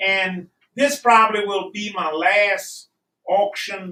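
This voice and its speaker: A man's raised, projected voice, high-pitched with a bright, sharp tone, at a very slow pace. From Louisiana. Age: 70s. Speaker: rabbit hunter, beagle handler. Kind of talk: casual pitch for auction item. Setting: live-streamed auction in a shop.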